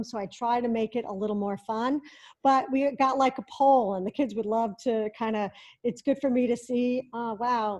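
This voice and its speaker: Against a quiet background, a woman with a plain, everyday voice speaks at a moderate pace and fairly high pitch with ordinary pitch variation. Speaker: tech education specialist. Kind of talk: tutorial.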